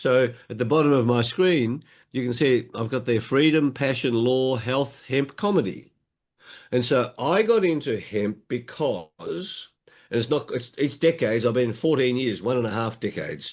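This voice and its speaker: Over a quiet background, a man with an Australian accent speaks at a moderate pace, his medium pitch showing ordinary variation. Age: 70s. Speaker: motivational speaker and hemp advocate. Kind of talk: interview.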